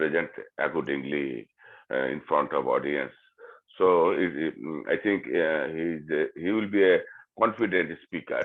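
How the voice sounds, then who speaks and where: A man with a Bengali accent speaks at a very deep, low pitch. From Bangladesh. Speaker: English learner. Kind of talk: group discussion. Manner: halting.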